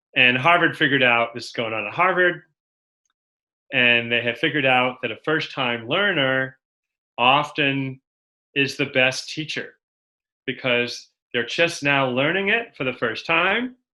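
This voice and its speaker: Fairly slow, medium-pitched male speech with a Boston accent, a bright, sharp tone, ordinary pitch variation and long, frequent pauses. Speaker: education speaker. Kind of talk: webinar presentation.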